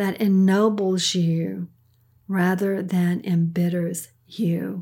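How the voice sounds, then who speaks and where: Very slowly, a woman speaks in a medium pitch, somewhat breathy and with a dark, mellow tone, on a very clean recording with a silent background. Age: 70s. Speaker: parent of the host giving a weekly pep talk. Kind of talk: inspirational pep talk.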